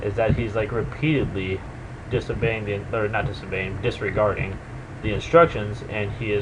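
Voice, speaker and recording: A quiet man with a fairly low voice at a fairly quick pace, amid noticeable background noise. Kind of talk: video game commentary. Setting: webcam microphone. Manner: casual, hesitant.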